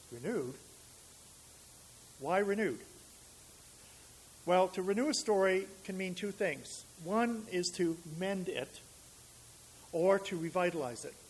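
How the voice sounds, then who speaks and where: A man with a New England accent, high pitch and lively intonation, a fairly slow pace, and long, frequent pauses. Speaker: minister. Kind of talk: sermon.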